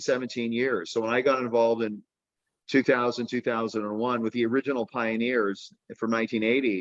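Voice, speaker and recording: With fairly even intonation, this man keeps to a moderate pace. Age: 60s. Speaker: company CEO. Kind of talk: interview. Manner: halting, many fillers and repeats.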